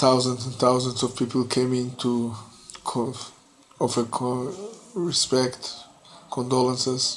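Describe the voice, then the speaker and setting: Monotone, flat intonation from a man at medium pitch, at a fairly slow pace, with noticeable background noise. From Israel, Jerusalem. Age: 60s. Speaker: bereaved father and peace activist. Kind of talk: testimony. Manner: halting, with many fillers.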